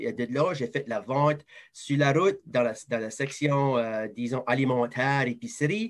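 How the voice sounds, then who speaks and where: A man with a fairly high voice and lively intonation talks at a fairly slow pace. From southeast New Brunswick, Moncton area (Acadian). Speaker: advertising sales professional. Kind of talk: interview.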